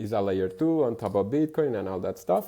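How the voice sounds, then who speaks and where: A man's dark, mellow voice at medium pitch against a quiet background. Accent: Spanish. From Venezuela. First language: Spanish. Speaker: bitcoin merchant-adoption advocate. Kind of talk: podcast interview. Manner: halting, many repetitions.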